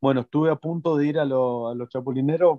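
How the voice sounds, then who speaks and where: A man with an Argentine accent, fairly even intonation and a dry sound with no echo. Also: quiet background. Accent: Argentine Spanish (voseo). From Argentina. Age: 30s. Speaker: retired footballer; interviewee. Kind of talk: interview. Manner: halting, many repetitions. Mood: calm, reflective. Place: home room. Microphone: video call.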